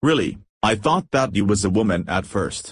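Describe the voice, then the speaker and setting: Using a cartoonish character voice, a man speaks at a moderate pace with fairly low pitch and lively intonation. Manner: casual, blunt.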